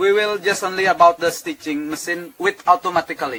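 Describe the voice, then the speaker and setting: A man with an Indonesian accent, bright and sharp in tone, at a moderate pace with ordinary pitch variation. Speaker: cruise ship tailor. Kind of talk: workplace interview. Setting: tailor shop on board a ship. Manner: halting.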